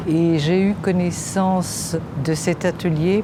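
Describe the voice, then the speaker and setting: There is audible room echo and noticeable background noise. A woman with a fairly low pitch speaks with fairly even intonation. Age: 70s. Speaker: patient with Parkinson's. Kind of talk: testimony.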